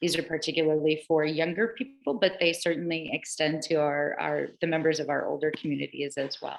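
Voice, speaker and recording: A woman speaks with a fairly low voice. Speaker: presenter on digital equity. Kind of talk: online meeting presentation. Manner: fast.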